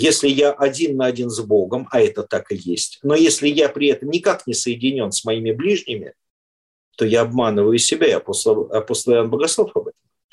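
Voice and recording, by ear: A man talks at a fairly quick pace and medium pitch, with ordinary pitch variation. His tone is slightly mellow, with a slightly husky edge.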